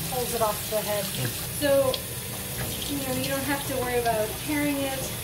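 Over loud background noise, a woman with a fairly high voice speaks with very wide pitch swings. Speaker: cooking video host. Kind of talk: casual how-to talk to camera. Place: kitchen.

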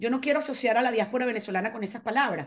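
Pitch moves in an ordinary way, and the background stays quiet. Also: woman. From Venezuela. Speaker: foundation manager; interviewee. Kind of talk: casual interview. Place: home room. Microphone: video call.

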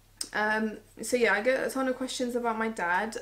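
A woman with a British accent and a fairly high voice at a moderate pace. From England. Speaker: beauty YouTuber. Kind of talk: casual chat. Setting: living room at home. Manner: frequent filler words. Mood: opinionated, slightly sassy. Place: home room. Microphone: camera far.

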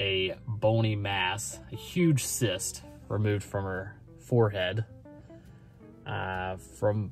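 A man with a fairly low voice speaks in a dry sound with no echo. Faint music plays behind him. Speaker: vlogger. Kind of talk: casual vlog chat. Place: car. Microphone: phone near.

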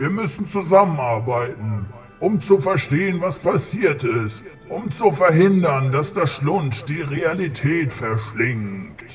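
Clear music sits in the background while a man talks at a fairly slow pace with a fairly high pitch. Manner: grave, earnest.

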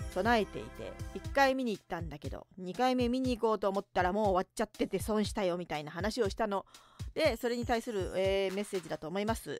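A woman's very fast delivery with ordinary pitch variation, the sound dry with no echo and faint music in the background. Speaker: narrator and writer; radio host. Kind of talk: late-night radio talk show. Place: studio.

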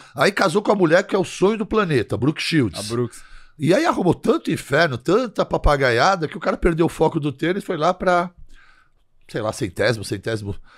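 A man's high-pitched voice with very wide pitch swings at a fairly quick pace, over a quiet background. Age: 60s. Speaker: physician and health influencer; health influencer. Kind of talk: casual chat. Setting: studio. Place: studio. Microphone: studio mic.

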